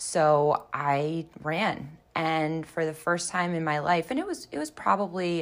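In an American accent, a woman with a plain, everyday voice talks at a fairly low pitch with fairly even intonation. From Baltimore, Maryland. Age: 30s. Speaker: recovering alcoholic and runner. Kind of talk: personal testimony.

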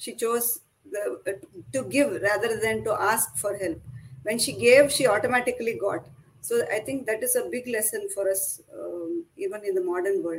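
A woman's fairly high voice with a Kannada accent, at a moderate pace with lively intonation. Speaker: author. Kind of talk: casual interview.

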